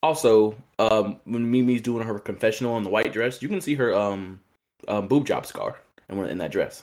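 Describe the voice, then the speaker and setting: At a moderate pace, a man with medium pitch and ordinary pitch variation talks in an unremarkable speaking voice. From Indiana. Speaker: podcaster. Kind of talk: casual chat.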